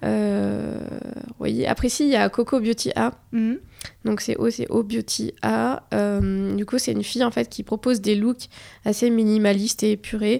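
A woman at a fairly slow pace, on a very clean recording with a silent background. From Morocco. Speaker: fashion influencer. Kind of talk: interview. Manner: hesitant.

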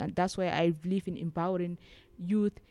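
She speaks with a Somali accent. This woman's voice is fairly low in pitch. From Somaliland. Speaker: social activist. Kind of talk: interview. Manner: halting.

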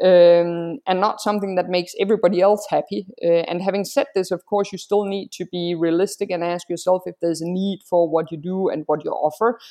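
In an ordinary speaking voice, a woman at medium pitch talks at a fairly quick pace with hardly any pauses and fairly even intonation, the sound dry and close with no echo. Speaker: freelancer. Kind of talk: interview. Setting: video or phone call, from Singapore.

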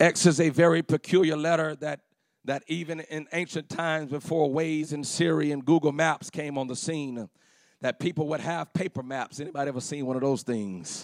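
A man speaks at a moderate pace in a fairly high pitch with an animated tone. The recording is very clean with a silent background and a dry, close sound with no echo. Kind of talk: sermon. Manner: animated, call-and-response preaching, urging the congregation to shout back; fervent, repetitive, building with 'come on'.

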